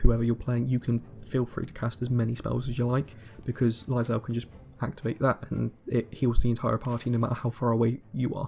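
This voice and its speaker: The voice is somewhat breathy and monotone, with flat intonation at a very fast pace. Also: man. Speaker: gaming YouTuber. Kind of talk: gameplay commentary. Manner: casual, hesitant with fillers.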